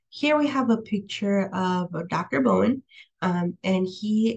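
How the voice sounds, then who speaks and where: Speaking at a very slow pace, a woman has a somewhat breathy voice at a medium pitch. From California, US. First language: Spanish. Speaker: professor. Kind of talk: lecture. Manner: hesitant, many fillers.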